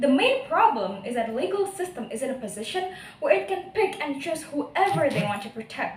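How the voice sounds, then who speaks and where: A woman with an Indonesian accent talks at a fairly quick pace in a high pitch with very wide pitch swings, amid audible room echo and noticeable background noise. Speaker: university student speech contestant. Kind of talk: speech competition. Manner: animated.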